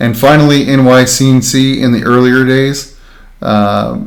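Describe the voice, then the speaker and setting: This is a man speaking. Room echo can be heard around his voice. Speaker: makerspace instructor. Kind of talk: tutorial livestream. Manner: monotone.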